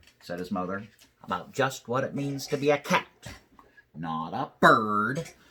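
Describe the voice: The plain reading aloud has lively intonation.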